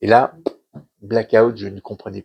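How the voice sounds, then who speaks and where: Someone speaks at a fairly slow pace in a dry, close sound with no echo. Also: man. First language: Yiddish (speaking French). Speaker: author, son of a Holocaust survivor. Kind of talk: interview talk at a cultural centre conference. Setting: conference hall with audience. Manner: halting, many hesitations and repetitions.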